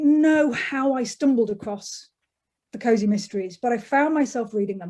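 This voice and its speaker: A woman with an English accent, high-pitched, dark and mellow in tone, with lively intonation, big swings in loudness, and a very clean recording over a silent background. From England, Derbyshire. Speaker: author. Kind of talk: interview.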